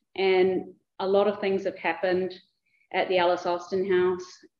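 With a New Zealand accent, a woman speaks at a moderate pace. Audible room echo surrounds her voice. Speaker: museum director. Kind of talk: conference presentation. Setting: lecture hall with audience and microphone. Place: hall. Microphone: too quiet at first, not speaking into microphone.

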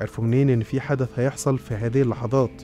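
With music in the background, a man at a medium pitch speaks at a fairly quick pace. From Egypt. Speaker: radio and TV presenter. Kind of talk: casual conspiracy-story narration.

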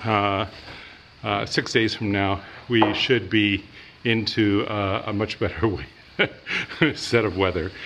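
A man speaks at a very slow pace with a fairly low pitch and monotone, flat intonation. Long, frequent pauses break up his speech over light background noise. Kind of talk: casual vlog chat. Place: garage. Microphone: phone near.

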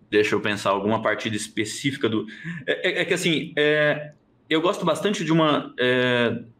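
A man at a moderate pace with lively intonation. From interior of São Paulo state, Brazil. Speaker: chess grandmaster, national champion; interviewee. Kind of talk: casual interview. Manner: hesitant, many fillers. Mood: relaxed, reflective. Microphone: video call.

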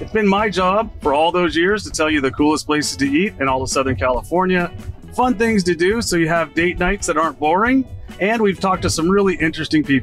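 A man at a high pitch, very fast pace and lively intonation, with music in the background. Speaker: podcast host. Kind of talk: podcast intro to camera.

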